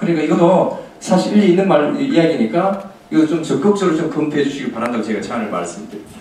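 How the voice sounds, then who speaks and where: A man talks at a very fast pace with a fairly high voice. His pitch swings very widely, and room echo is audible. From South Korea. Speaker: taekwondo gym owner; presenter. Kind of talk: presentation at a meeting. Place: hall.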